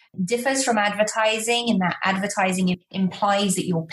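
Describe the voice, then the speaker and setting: A woman with a British accent speaks in a somewhat breathy voice. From Malta. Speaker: public relations expert. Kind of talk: podcast interview.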